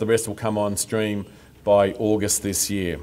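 A man at a fairly low pitch and moderate pace, in an ordinary speaking voice. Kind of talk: formal speech. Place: street. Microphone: podium.

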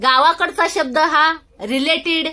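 A raised, projected voice in a rural Marathi accent. The intonation is lively. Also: woman. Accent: rustic village Marathi dialect. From rural Maharashtra. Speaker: social media creator. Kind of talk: vlog monologue. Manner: halting, repetitive. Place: home room. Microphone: phone near.

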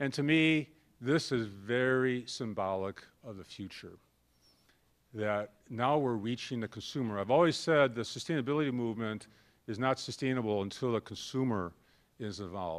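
Against a quiet background, a man with an American accent talks at a moderate pace with ordinary pitch variation. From US Midwest. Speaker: corporate sustainability executive; speaker. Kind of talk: conference talk. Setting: stage with audience. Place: classroom. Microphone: podium.

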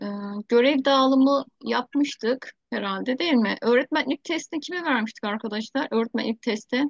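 A woman's high-pitched voice at a moderate pace with ordinary pitch variation and hardly any pauses, dry with no echo over a quiet background. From Turkey. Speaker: teacher, project founder leading a video meeting; teacher. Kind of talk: online meeting, casual-formal chat. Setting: video call. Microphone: video call.

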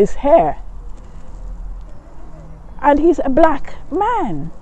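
The sound is dry, with no echo. A woman speaks at a very slow pace. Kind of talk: interview answer. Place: street. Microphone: phone near.

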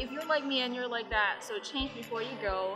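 A woman's voice with clear music in the background. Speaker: lifestyle vlogger. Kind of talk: casual vlog chat. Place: station. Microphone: phone near.

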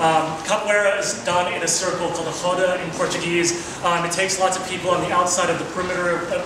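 A man with a high pitch speaks in a monotone, flat intonation amid noticeable background noise and audible room echo. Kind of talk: presentation talk. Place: hall. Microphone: camera far.

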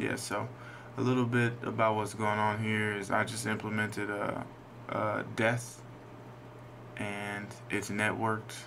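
Through noticeable background noise, a man speaks slowly-ish at a fairly slow pace, with a fairly low pitch and monotone, flat intonation. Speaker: indie game developer. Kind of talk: casual gameplay commentary.

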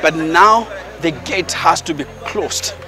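A man at a fairly slow pace with ordinary pitch variation, dry sound with no echo, and clear music in the background. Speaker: presenter. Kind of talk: commentary. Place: open country.

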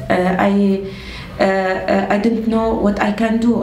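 In an Arabic accent, a woman speaks at a very slow pace with ordinary pitch variation. Audible room echo and light background noise fill the recording. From Syria. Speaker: refugee. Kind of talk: interview. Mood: reflective, slightly emotional. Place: home room.

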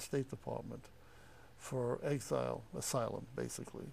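A man speaks at a moderate pace in a dark, mellow tone. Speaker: interviewee. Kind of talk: interview answer. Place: studio.

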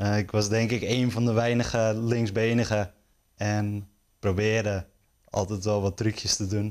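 Monotone, flat intonation at a fairly slow pace, with very even loudness over a quiet background. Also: man, fairly low pitch for a man. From Netherlands, North Holland (Stroet); North Holland, Netherlands. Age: 20s. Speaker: sports journalist; sports journalist guest. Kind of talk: interview; interview answer. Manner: hesitant, many fillers. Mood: relaxed, friendly. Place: studio.

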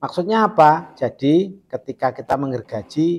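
A man talks at a fairly slow pace in a normal speaking voice. His pitch is fairly high. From Indonesia. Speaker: carpenter showing saw sharpening. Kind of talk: tutorial. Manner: casual, repetitive filler phrases. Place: workshop.

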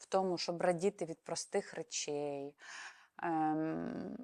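A woman's dark, mellow tone in a dry, close recording with no echo and a very clean, silent background. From Ukraine. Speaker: psychologist and psychotherapist. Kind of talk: educational talk to camera.

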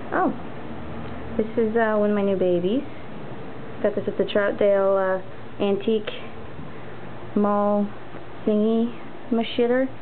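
At a moderate pace broken by long, frequent pauses, the voice sits over light background noise. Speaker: apartment tour host. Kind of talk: casual home tour talk to camera. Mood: grumbly, self-deprecating. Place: home room. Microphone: phone near.

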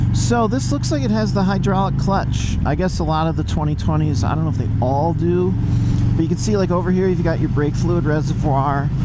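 Despite loud background noise, the speech moves at a moderate pace with a dry sound and no echo. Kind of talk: casual vlog chat. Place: motorbike.

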